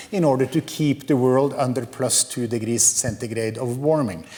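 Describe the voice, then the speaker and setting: A man speaks with a Norwegian accent. Noticeable background noise runs behind him. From Norway. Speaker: professor. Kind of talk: lecture. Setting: lecture hall with audience. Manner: hesitant, many fillers.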